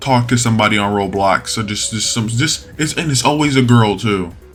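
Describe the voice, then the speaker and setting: Lively intonation from a man at a medium pitch, with music in the background. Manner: forced voice.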